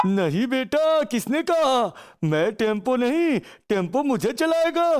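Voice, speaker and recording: A man performs a cartoonish character voice at an extremely high pitch. He speaks at a very slow pace. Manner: jokey, exclaims "Oh no!".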